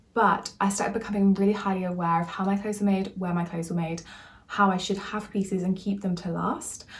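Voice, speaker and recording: This woman talks at a very fast pace, her pitch medium and her intonation fairly even. There is noticeable background noise. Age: 20s. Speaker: vlogger. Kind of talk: casual vlog talk.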